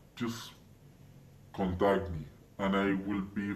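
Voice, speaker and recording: There is audible room echo around a man's fairly low voice. He speaks at a fairly slow pace. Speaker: channel owner. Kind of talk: monologue to camera.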